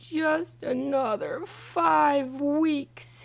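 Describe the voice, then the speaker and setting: Here a woman uses a put-on character voice. It sits at a high pitch. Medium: read story. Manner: jovial.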